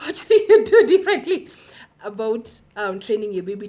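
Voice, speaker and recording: A woman with a Kenyan accent speaks in very wide pitch swings against noticeable background noise. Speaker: parenting vlogger. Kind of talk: casual vlog talk to camera. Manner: fast.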